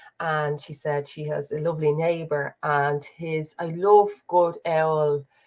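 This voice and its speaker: A woman with a Dublin accent speaks at a very slow pace in a very deep, low pitch, her intonation monotone and flat, her loudness swinging widely, with hardly any pauses. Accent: Dublin Irish. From Dublin, Ireland. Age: 30s. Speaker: podcast host. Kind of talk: casual livestream chat. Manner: rambling, chatty.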